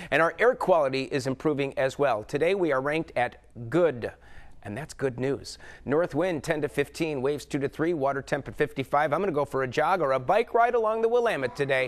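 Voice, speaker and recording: A man with a plain, everyday voice speaks in an American accent at a fairly quick pace. His pitch is fairly high and his intonation lively, over a quiet background. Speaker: TV weather forecaster and host. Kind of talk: TV weather forecast delivered to camera. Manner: upbeat, chatty, jokey.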